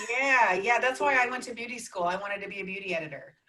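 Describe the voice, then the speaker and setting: With noticeable background noise behind her, a woman talks at a very fast pace with ordinary pitch variation. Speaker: podcast host. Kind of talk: casual interview. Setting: video call.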